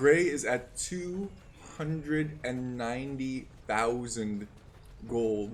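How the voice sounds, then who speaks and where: Animated in tone, a man speaks at medium pitch. Room echo can be heard. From Netherlands. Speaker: video game caster. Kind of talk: live commentary. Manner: casual, animated.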